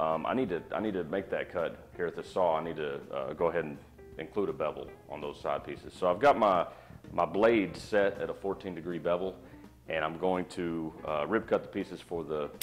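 Faint music plays in the background as the speech moves at a moderate pace. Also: man. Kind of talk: tutorial. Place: workshop. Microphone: camera far.

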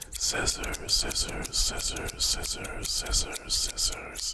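A man talks at a very slow pace through loud background noise. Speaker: content creator acting as barber. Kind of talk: role-play skit to the camera.

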